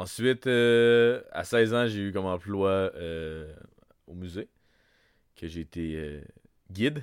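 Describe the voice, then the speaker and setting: Fairly low male speech at a very slow pace, with long, frequent pauses, ordinary pitch variation and big swings in loudness. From Wendake, Quebec. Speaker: podcast co-host. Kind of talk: casual chat. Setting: home studio.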